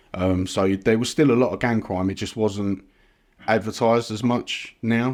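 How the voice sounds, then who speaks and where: A man speaks with a London accent at a fairly low pitch. His intonation stays fairly even at a moderate pace. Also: very clean recording, silent background. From East London (Ilford). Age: 40s. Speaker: supplement brand founder. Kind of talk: podcast interview. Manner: casual, hesitant with fillers.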